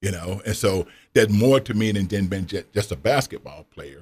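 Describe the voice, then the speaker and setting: A somewhat breathy man's voice of fairly low pitch at a moderate pace, on a very clean recording with a silent background. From US South. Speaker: retired former college basketball player and author. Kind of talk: interview. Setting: radio studio.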